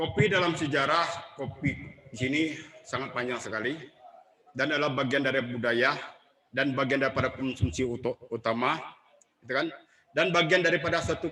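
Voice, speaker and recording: Long pauses come often in this clip. The pitch variation is ordinary. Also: man, fairly high pitch for a man. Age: 60s. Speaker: book discussion speaker. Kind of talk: public talk.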